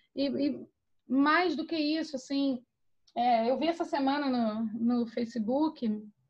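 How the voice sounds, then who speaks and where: A woman's high-pitched voice. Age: 40s. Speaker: podcast co-host. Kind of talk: reading aloud own essay; casual chat. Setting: video call.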